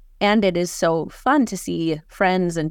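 In a very clean recording with a silent background, a woman with an American accent talks in a normal speaking voice, fairly low in pitch and with fairly even intonation. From Minnesota, Hutchinson. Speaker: marketing consultant and company founder. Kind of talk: interview conversation.

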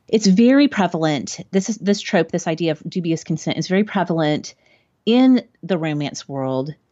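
A normal speaking voice with lively intonation at a moderate pace. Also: woman, fairly low pitch for a woman. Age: 40s. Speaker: podcast host and former English teacher. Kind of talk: casual chat about a book.

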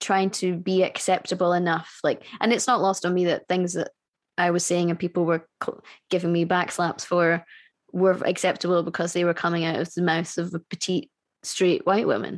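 In a Scottish accent, a woman speaks at a moderate pace with a fairly low pitch. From Scotland. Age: 30s. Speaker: musician. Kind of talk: casual chat. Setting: video call.

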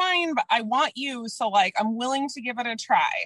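High-pitched and in an American accent, a woman talks with very wide pitch swings. The sound is dry and close with no echo. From US Midwest, Minnesota. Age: 30s. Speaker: anti-diet coach. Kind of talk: casual chat.

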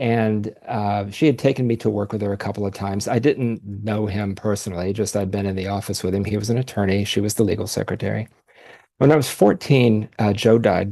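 Against a quiet background, a man with an American accent talks at a fairly quick pace in a fairly low voice with a dark, mellow tone and fairly even intonation. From Ohio, US Midwest. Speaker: podcast guest sharing DNA discovery story. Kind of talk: personal testimony in interview.

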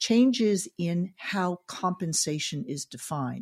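A woman's fairly low voice in a Californian accent, with lively intonation. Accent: Californian American. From Northern California. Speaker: podcast co-host. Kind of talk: podcast interview. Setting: video call.

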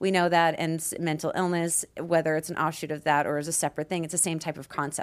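A woman speaks with a very deep, low pitch at a very fast pace in a monotone, flat intonation. The recording is very clean with a silent background. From Canada, Peace River, Alberta. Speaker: nurse practitioner and podcast host. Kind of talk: casual chat.

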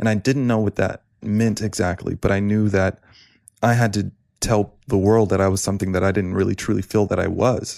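A man with a fairly low pitch speaks at a fairly quick pace in a monotone, flat intonation. His loudness stays very even in a very clean recording with a silent background. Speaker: guest. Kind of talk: casual chat.

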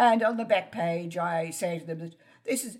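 Here a woman speaks with an Australian accent. She keeps a fairly slow pace. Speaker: genealogist and author. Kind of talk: interview.

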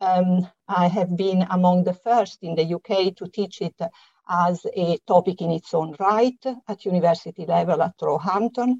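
A woman speaks with an Italian accent. Her tone is dark and mellow, and the sound is dry and close with no echo. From Italy. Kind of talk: interview. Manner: hesitant, many fillers.

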